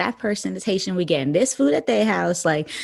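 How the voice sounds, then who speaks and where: A woman speaks with a New York accent. Her voice is fairly low. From New York City, the Bronx. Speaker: actress. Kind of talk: casual chat.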